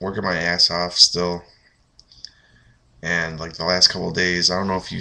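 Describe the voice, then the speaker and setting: A man speaks at a fairly quick pace with a very deep, low pitch. His tone is bright and sharp, and his intonation stays monotone and flat. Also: quiet background. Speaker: vlogger. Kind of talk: casual webcam vlog. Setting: apartment, late night. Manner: keeping voice down.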